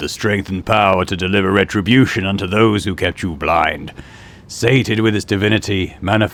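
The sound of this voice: Unforced voice for reading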